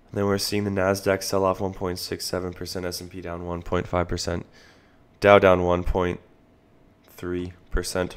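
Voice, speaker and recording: A man with a very deep, low voice speaks at a moderate pace in a monotone, flat way. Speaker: stock market livestream host. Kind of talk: live market commentary. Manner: casual, conversational.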